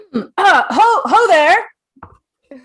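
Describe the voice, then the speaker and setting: Loud and extremely high-pitched, this put-on character voice pushes every line. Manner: loud calling.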